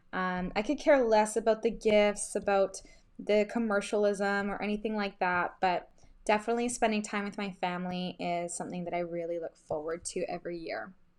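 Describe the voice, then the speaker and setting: With a Canadian accent, a woman speaks in a normal speaking voice at a medium pitch and a moderate pace. Her pitch varies in an ordinary way, over a quiet background. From western Canada, Vancouver. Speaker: craft brand ambassador. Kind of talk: casual chat while crafting.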